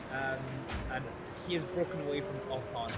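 A woman speaks against loud background noise. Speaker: game streamer. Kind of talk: live race commentary while playing a game. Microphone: headset.

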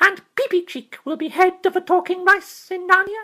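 A man's put-on character voice, raised and projected. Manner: proud, fearless, chivalrous.

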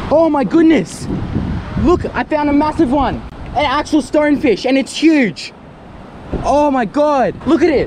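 Over noticeable background noise, a man with an extremely high voice and ordinary pitch variation talks fairly slowly, leaving long, frequent pauses. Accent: Australian. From Australia. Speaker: wildlife adventure youtuber. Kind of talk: vlog narration. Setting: outdoors. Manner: animated. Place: beach. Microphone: phone near.

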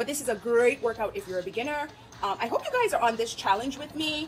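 A woman talks at a very fast pace. Faint music sits in the background. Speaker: fitness vlogger. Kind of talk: casual vlog chat. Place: home room. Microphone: phone near.

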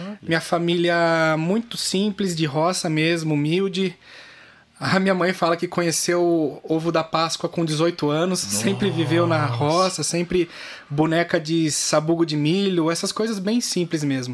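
Here a man with a high pitch talks at a fairly slow pace, keeping his intonation fairly even. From Brazil, interior of São Paulo state (raised in Mairinque); São Paulo state, Brazil. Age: 30s. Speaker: fitness entrepreneur; podcast guest. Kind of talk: interview. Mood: calm, reflective, smiling. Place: studio. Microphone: studio mic.

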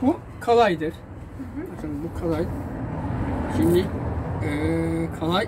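Amid noticeable background noise, a high-pitched man talks at a moderate pace with ordinary pitch variation. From Giresun, Turkey. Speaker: tinsmith craftsman. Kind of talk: casual interview answers. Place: workshop. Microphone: phone near.

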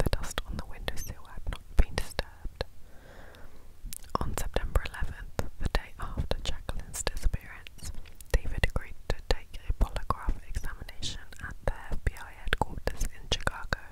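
A woman whispers. Her pace is moderate. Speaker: ASMR storyteller. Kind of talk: whispered true crime storytelling. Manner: whispered, soft. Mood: somber, gentle. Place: home room. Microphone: lapel.

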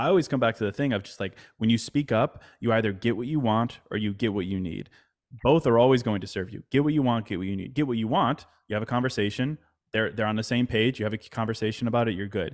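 Over a quiet background, the speech comes at a very fast pace with ordinary pitch variation. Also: man. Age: 30s. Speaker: mindfulness writer and podcaster; podcast guest. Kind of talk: casual interview chat. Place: home room. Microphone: studio mic.

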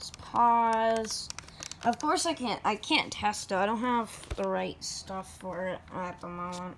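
Her pitch is medium, and the woman speaks at a fairly slow pace with ordinary pitch variation.

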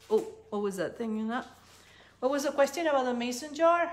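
Lively intonation from a woman with a high pitch. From Peru. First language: Spanish. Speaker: cookie decorating instructor. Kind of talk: live tutorial. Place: kitchen. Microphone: phone near.

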